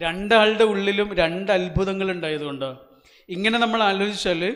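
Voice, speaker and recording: A man's high-pitched voice with audible room echo. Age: 40s. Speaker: motivational speaker. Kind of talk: motivational speech to audience. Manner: interactive, questioning the audience.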